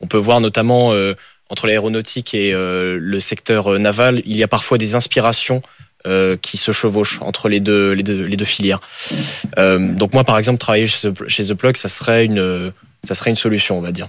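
Using an ordinary speaking voice, a man with a fairly low pitch talks at a moderate pace with fairly even intonation. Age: 20s. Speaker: engineering student. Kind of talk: radio interview.

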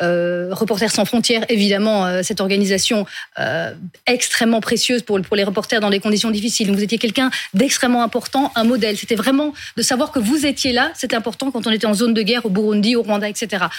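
A woman at a fairly high pitch and very fast pace, very even in loudness, over noticeable background noise. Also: ordinary pitch variation. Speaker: panel journalist. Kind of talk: interview.

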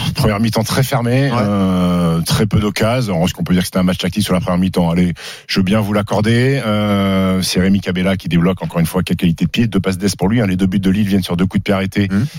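A man with a very deep, low pitch talks at a very fast pace with hardly any pauses. His loudness stays very even. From France, Haute-Savoie (Annecy). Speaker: sports radio host. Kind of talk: sports debate show. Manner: animated.

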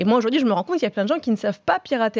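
A woman talks with lively, bouncing intonation at a fairly high pitch. The sound is dry and close, without any echo. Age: 30s. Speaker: freelance journalist and TV series critic. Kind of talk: casual debate.

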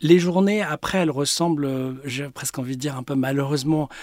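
A man has a normal speaking voice with a fairly high pitch and fairly even intonation at a moderate pace. The sound is dry and close, with no echo. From Paris, France. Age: 50s. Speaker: business executive. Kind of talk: interview.

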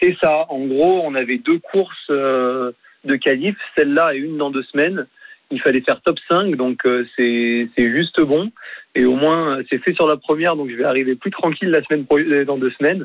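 A man with a normal speaking voice, fairly high in pitch, talks at a moderate pace with ordinary pitch variation. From France. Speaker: triathlete. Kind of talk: radio interview.

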